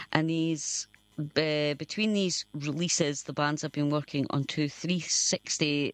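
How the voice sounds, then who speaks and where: Fairly slow, fairly even speech from a woman with a very deep, low voice and a Scottish accent, dry and close with no echo. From Scotland. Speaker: community radio host. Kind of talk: radio presenting, reading band bio. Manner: halting, stumbles over names.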